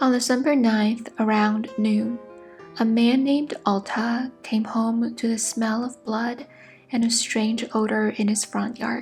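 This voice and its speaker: A soft-spoken woman's fairly high, flat monotone at a fairly slow pace, with music in the background. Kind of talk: ASMR sleep story.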